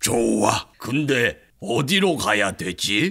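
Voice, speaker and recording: A man puts on a raspy, cartoonish character voice and speaks very slowly. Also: medium pitch for a man. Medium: puppet.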